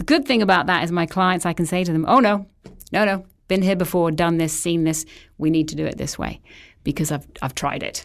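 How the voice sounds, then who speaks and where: A woman with an English accent speaks at a fairly quick pace, her pitch fairly low with ordinary variation. The recording is very clean, with a silent background. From England. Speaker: astrology and feng shui consultant. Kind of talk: interview.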